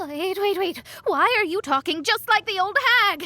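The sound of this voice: This is a put-on character voice with a bright, sharp tone. It moves at a moderate pace with lively intonation. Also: woman, extremely high pitch for a woman.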